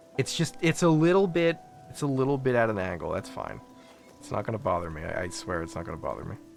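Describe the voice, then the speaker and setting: Over music in the background, a man talks at a very fast pace with medium pitch, very wide pitch swings and big swings in loudness. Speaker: video game streamer. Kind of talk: live gameplay commentary. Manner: animated.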